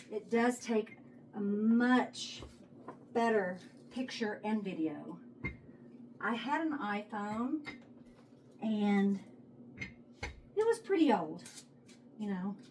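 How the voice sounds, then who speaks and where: In a relaxed tone, a woman with a Texas accent speaks very slowly at a fairly high pitch, using ordinary pitch variation and long, frequent pauses. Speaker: home cooking vlogger. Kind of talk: casual cooking tutorial. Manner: chatty, relaxed.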